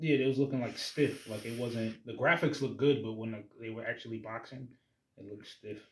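This man's voice is somewhat breathy, at a medium pitch and a fairly quick pace. His intonation stays fairly even while his loudness swings widely. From Jamaican heritage. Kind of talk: casual chat.

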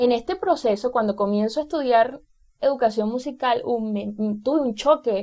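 A woman's high-pitched voice with a dark, mellow tone and a Venezuelan accent, ordinary pitch variation, a moderate pace, and a very clean recording over a silent background. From Venezuela, Carabobo state. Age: 20s. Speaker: music teacher and singer-songwriter podcaster. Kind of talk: casual monologue. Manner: hesitant, many fillers.

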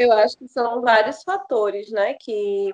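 Her voice sits at a medium pitch for a woman. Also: dry, close sound with no echo. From Maranhão, Brazil. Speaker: doula and holistic health entrepreneur. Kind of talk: podcast interview.

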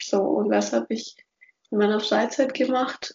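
Speaking at a fairly slow pace, a woman with a fairly high pitch has an unremarkable speaking voice. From Franconia, between Nuremberg and Würzburg. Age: 20s. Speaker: podcast host, industrial engineer. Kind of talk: casual chat.

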